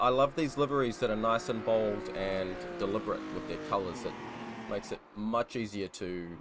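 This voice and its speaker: A man with a New Zealand accent, fairly low in pitch, at a moderate pace with ordinary pitch variation. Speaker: sim racing commentator. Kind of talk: live commentary. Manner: casual, filler-heavy.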